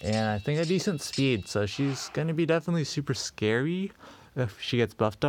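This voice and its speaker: Music plays behind a man whose voice makes very wide pitch swings. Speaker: gaming YouTuber. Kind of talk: gameplay commentary. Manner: slurring, many hesitations; casual, filler-heavy.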